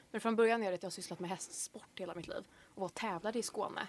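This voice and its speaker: This woman talks very quickly. Her medium pitch shows ordinary variation. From Swedish west coast, Bohuslän. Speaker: university student. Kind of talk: casual chat.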